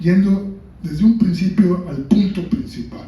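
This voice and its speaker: With audible room echo and noticeable background noise, a man speaks at a fairly slow pace. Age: 70s. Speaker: book author. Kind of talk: book presentation talk.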